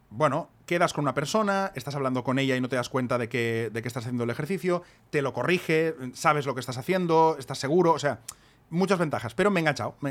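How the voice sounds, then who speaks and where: A man with a fairly high pitch, lively intonation and a very fast pace. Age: 40s. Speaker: podcast co-host and author. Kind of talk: casual chat.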